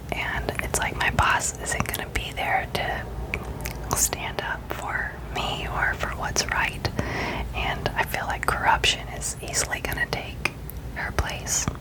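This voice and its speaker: Over noticeable background noise, the words come in a whisper at a very slow pace. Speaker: ASMR content creator. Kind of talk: soft whispered ramble about personal life, ASMR. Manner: whispered, soft-spoken, casual.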